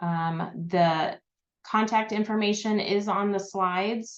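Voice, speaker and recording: The background is quiet as a woman speaks at a very slow pace. Her intonation stays fairly even. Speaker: librarian presenting a webinar; presenter. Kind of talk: online presentation. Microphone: video call.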